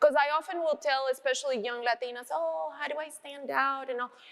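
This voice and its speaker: Lively in intonation, a woman with a Spanish accent talks at a fairly quick pace in a high pitch. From Colombia. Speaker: business executive. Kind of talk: panel discussion.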